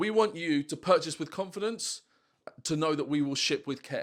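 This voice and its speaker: A man with an unremarkable speaking voice at a moderate pace and ordinary pitch variation, on a very clean recording with a silent background. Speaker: online seller of vintage toy sets. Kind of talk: casual vlog talking to camera.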